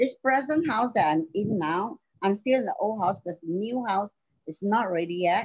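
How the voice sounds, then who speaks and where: With an ordinary speaking voice at a medium pitch, a woman speaks in lively intonation, her sound dry and close with no echo. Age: 60s. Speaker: domestic violence survivor. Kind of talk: testimony.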